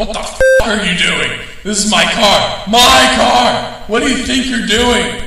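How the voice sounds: In a room with audible room echo, a man does a high-pitched put-on character voice with a bright, sharp tone, vocal fry, ordinary pitch variation and a fairly slow pace.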